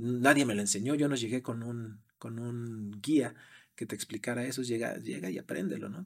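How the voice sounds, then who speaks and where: A medium-pitched male voice with lively intonation, on a very clean recording with a silent background. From Mexico City area. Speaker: sales executive. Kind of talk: interview. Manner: hesitant with repetitions.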